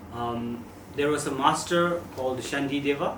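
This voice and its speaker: With a Tibetan accent, a man at medium pitch talks with ordinary pitch variation, his voice carrying audible room echo over noticeable background noise. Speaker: Buddhist teacher. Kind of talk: dharma talk. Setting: talk with live audience. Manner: halting.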